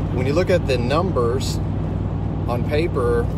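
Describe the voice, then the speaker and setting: Speech comes at a fairly slow pace over loud background noise, with a dry sound and no echo. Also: man. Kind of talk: casual vlog chat. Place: car. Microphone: phone near.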